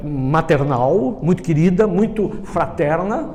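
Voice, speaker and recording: With noticeable background noise and audible room echo, a man talks in a high pitch with lively intonation. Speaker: NLP trainer. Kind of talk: lecture.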